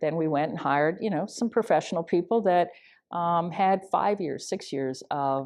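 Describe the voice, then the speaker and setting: Against a quiet background, a woman with a Canadian accent speaks at a moderate pace with ordinary pitch variation. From Canada, Saskatchewan. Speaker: steel industry engineer. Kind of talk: oral history interview. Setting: industry conference.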